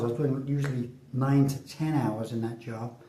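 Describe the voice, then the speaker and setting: A man talks with fairly even intonation. Audible room echo and noticeable background noise surround his voice. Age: 60s. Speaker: vlogger. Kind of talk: casual monologue. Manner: halting.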